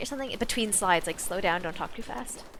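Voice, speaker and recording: Over noticeable background noise, a woman speaks in an animated tone at a very fast pace, her pitch varying in an ordinary way. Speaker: streamer. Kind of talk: casual chat.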